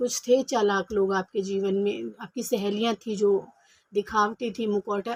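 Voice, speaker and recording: Soft-spoken and fairly high-pitched, a woman keeps her intonation fairly even in a dry, close recording with no echo. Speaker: tarot reader. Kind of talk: tarot reading. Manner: soft-spoken, speaking quietly.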